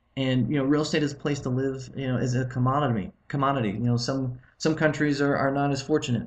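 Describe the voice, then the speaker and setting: A man talks very fast with fairly even intonation. His voice is somewhat breathy. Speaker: real estate investment presenter. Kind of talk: webinar presentation. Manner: halting, many fillers and restarts.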